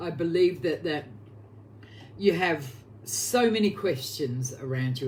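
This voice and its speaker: The speech moves at a fairly slow pace. It carries a strong Australian accent. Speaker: oracle card reader. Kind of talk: live psychic card reading.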